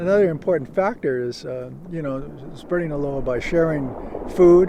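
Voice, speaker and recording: Noticeable background noise behind a man, his pitch varying in an ordinary way. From Hawaii (Honolulu). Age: 70s. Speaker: veteran surfer. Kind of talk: interview monologue. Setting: outdoors at a beach. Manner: halting, many fillers.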